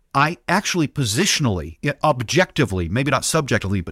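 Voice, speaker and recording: On a very clean recording with a silent background and a dry, close sound with no echo, a man speaks in a bright, sharp tone at a medium pitch with very wide swings. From US, moved around (California, Scotland, Oregon). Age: 40s. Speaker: pastor and author. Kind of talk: podcast interview. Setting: church office.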